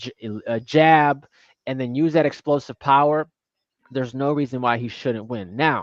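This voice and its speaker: Over a quiet background, a man with a fairly high pitch uses an ordinary speaking voice at a fairly quick pace, with ordinary pitch variation and a dry, close sound with no echo. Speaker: boxing analyst. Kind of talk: live boxing watch-along commentary.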